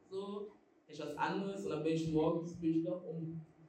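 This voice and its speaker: Room echo can be heard around the voice. A woman talks fairly quickly. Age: 20s. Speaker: student and association leader. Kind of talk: interview.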